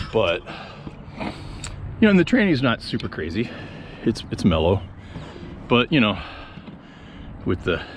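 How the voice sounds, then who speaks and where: A man's medium-pitched voice at a fairly slow pace, with long, frequent pauses, very wide pitch swings and noticeable background noise. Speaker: skateboarding vlogger. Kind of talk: casual vlog talk to camera. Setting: outdoors at a skatepark. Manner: halting, many fillers.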